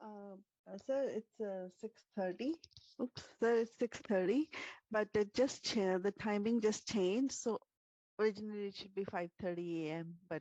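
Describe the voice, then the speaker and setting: Soft-spoken and dark, mellow in tone, a woman of medium pitch talks with ordinary pitch variation and big swings in loudness, in a dry, close sound with no echo. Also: moderate pace. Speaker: workshop participant. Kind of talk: testimony.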